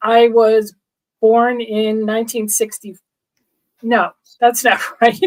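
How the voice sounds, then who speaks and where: Speaking very slowly in an American accent, a woman with a fairly high pitch keeps her intonation flat and monotone, leaving long, frequent pauses. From New Jersey. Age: 60s. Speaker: interview guest sharing life story. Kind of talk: testimony. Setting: livestream.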